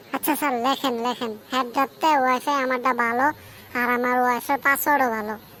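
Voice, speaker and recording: A cartoonish character voice, female-sounding and high-pitched, at a moderate pace over clear background noise. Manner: cheeky, wheedling.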